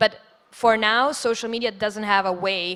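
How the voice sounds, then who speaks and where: A woman with an Italian accent speaks at a moderate pace and medium pitch in a bright, sharp tone, recorded very cleanly over a silent background. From Switzerland. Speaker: digital influencer. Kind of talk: panel discussion.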